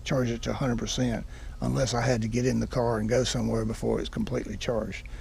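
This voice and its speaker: Here a man speaks at a fairly quick pace. Audible room echo surrounds his voice. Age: 70s. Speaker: car owner reviewer. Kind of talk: casual video review. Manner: halting.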